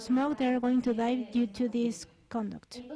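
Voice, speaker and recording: Over noticeable background noise, a high-pitched woman with a Mexican accent speaks at a fairly slow pace. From Mexico. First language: Spanish. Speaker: thoracic surgeon. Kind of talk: conference talk. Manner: halting.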